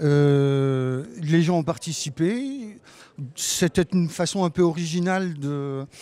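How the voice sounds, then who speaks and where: Dark, mellow tone with ordinary pitch variation. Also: man. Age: 60s. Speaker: retired community council chair. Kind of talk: interview. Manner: hesitant.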